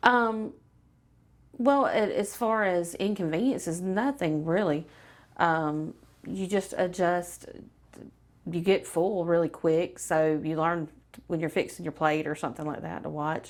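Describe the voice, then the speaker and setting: With an American accent, the speaker talks at a fairly slow pace with ordinary pitch variation. Long pauses come often. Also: woman, fairly low pitch for a woman. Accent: Southern, stronger on camera than she thinks. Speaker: weight loss client. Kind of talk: testimonial interview. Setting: filmed interview on camera.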